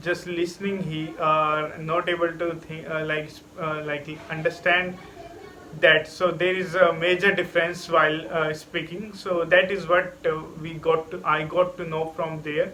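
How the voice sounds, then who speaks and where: A man with a high voice talks at a fairly slow pace in a flat monotone over noticeable background noise. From India. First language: an Indian language. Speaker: English learner vlogger. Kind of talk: casual vlog monologue. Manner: halting, many fillers.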